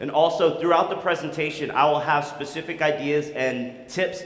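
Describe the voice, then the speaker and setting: Recorded with audible room echo and noticeable background noise, a man talks at a fairly high pitch. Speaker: conference speaker, SEO expert. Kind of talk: conference talk. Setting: stage with audience. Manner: fast; animated.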